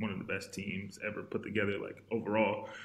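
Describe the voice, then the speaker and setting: There's audible echo from the room. Within it, a man speaks at a moderate speed. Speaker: professional basketball player; podcast guest. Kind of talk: casual chat. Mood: relaxed, casual. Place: home room.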